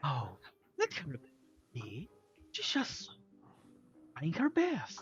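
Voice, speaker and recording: A put-on character voice speaks at a very slow pace and a low-to-middle pitch, with faint music in the background. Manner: gentle, protective.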